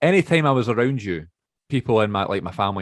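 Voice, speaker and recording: A man talks with a Glasgow accent. The sound is dry and close, with no echo. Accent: soft Glasgow Scottish. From Scotland, Glasgow. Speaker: podcast co-host. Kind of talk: casual chat.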